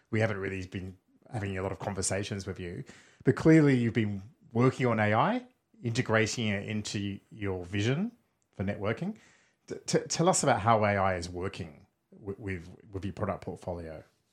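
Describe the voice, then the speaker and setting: A man speaks at a fairly quick pace with an Australian accent, his pitch fairly low and its variation ordinary. He leaves long, frequent pauses, and the recording is very clean with a silent background. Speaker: podcast host. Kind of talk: interview. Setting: studio.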